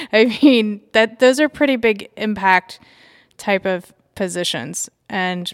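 A woman with an unremarkable speaking voice talks at a fairly slow pace, her medium pitch carried by lively intonation. The sound is dry and close with no echo, on a very clean recording with a silent background. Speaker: podcast host. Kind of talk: interview. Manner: casual, conversational.

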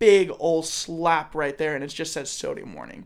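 On a very clean recording with a silent background, a man with an American accent speaks at a moderate pace in a high pitch with lively intonation. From Southern California. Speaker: guest, college student. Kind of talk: casual chat.

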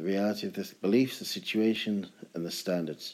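In a British accent, a man with a fairly low pitch speaks in a relaxed tone with ordinary pitch variation. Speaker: podcast host. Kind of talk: solo casual monologue podcast. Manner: relaxed, chilled.

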